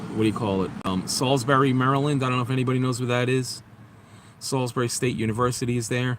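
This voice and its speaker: Over noticeable background noise, a man with a New York accent talks at a very fast pace, his pitch medium and his intonation fairly even. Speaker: vlogger. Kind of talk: casual live stream chat. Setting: outdoors near highway.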